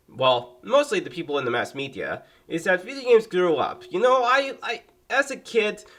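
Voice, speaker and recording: A high-pitched male voice at a moderate pace, with very wide pitch swings. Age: 30s. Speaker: gaming commentator. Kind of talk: commentary reading from an article.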